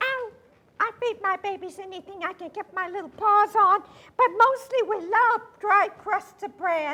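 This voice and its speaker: Using a put-on character voice, a woman speaks at a moderate pace in a raised, projected voice with an extremely high pitch. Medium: stage play. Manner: friendly, warm.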